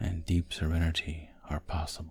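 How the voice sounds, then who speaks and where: With noticeable background noise behind him, a man speaks in a very deep, low voice with monotone, flat intonation. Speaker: hypnotist. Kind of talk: sleep hypnosis. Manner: slow, soft-spoken.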